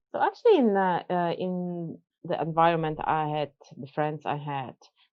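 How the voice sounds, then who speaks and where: A woman with a Polish accent talks at a moderate pace. Her fairly low pitch follows a fairly even intonation. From Poland. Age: 40s. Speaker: businesswoman and coach. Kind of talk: casual chat.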